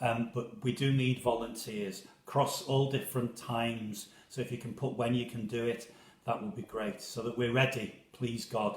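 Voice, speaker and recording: Somewhat breathy, a man speaks at a medium pitch and a moderate pace. His intonation stays fairly even. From Liverpool, England. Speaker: parish priest. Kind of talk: casual chat. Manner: halting.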